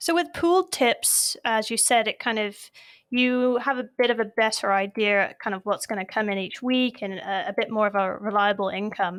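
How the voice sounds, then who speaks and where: A woman in a British accent, fairly high-pitched with ordinary pitch variation, at a moderate pace on a very clean recording with a silent background. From United Kingdom. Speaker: podcast host. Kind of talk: interview.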